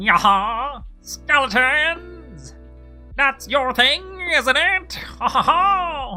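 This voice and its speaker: Clear music plays in the background as a put-on character voice speaks at a high pitch and a very slow pace. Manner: mocking, cackling.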